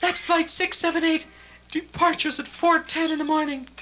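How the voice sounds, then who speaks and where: A man does a squeaky put-on character voice at an extremely high pitch. His delivery is monotone and flat, at a moderate pace. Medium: solo performance. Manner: breathy, alluring.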